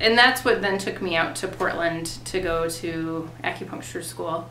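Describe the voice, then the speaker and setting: In a Minnesotan accent, a woman talks at a fairly slow pace with audible room echo around her. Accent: Minnesota. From US Upper Midwest, Fargo, North Dakota. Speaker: acupuncturist. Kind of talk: interview answers. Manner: casual, many filler ums.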